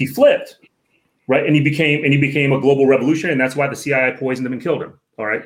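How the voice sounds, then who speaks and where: Monotone, flat intonation runs through this very fast delivery in an American accent. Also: man, fairly high pitch for a man. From Northern Virginia (DC area), Filipino community. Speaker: professor and author. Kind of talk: casual interview.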